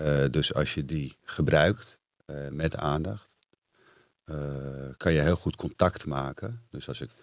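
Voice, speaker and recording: Very slow speech with vocal fry, long, frequent pauses, big swings in loudness and ordinary pitch variation. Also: man, very deep, low pitch for a man. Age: 40s. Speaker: entrepreneur and retreat center owner. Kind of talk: casual interview.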